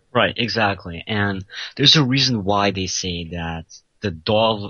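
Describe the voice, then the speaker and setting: The speech comes at a fairly slow pace, with ordinary pitch variation. Overall, it is an ordinary speaking voice. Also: man. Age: 20s. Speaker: self-styled pickup artist. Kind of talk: call-in interview. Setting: Skype call.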